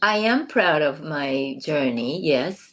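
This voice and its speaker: Very slowly, a woman speaks in a Japanese accent, her pitch swinging very widely. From southern Japan, Kumamoto. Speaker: former professional dancer. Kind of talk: interview. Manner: halting, many fillers.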